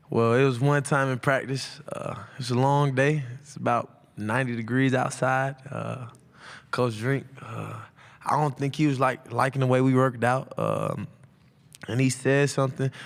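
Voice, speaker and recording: A man talks in an American accent at a moderate pace. His intonation is monotone and flat. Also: medium pitch for a man. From Atlanta, Georgia (US South). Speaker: college football player. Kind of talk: press conference Q&A. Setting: media day press room. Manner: loud; casual, halting with fillers.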